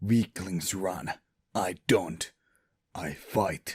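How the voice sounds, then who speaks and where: A put-on character voice from a man, pitched very deep and low. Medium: audio drama. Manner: brash, cold.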